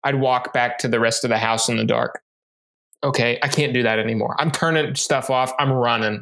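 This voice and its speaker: Using a normal speaking voice, a man talks at a fairly quick pace and medium pitch, with fairly even intonation and very even loudness. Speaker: book club podcast co-host. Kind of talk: casual chat.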